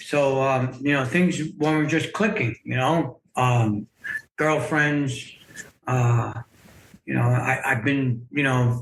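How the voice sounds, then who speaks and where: A fairly high-pitched man at a fairly slow pace, over music in the background. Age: 60s. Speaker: memoir author sharing life story. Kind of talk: podcast interview, personal testimony. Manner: hesitant, many fillers and repeats.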